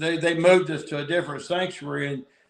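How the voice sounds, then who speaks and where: A speaker with a Southern accent talks in a fairly even intonation. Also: man. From Tennessee (Athens). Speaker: recovering addict, guest. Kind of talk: casual chat. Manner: halting.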